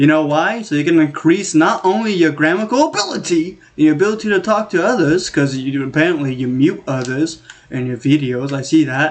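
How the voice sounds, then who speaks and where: Over noticeable background noise, a man with a fairly high pitch speaks at a fairly quick pace, with ordinary pitch variation and hardly any pauses. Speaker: gaming YouTuber. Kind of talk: casual solo commentary. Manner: rambling, self-interrupting; animated.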